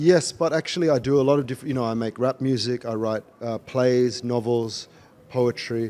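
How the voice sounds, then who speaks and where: A man speaks in an Australian accent at a medium pitch. His intonation stays fairly even. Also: moderate pace. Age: 30s. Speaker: rapper and writer. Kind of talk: interview.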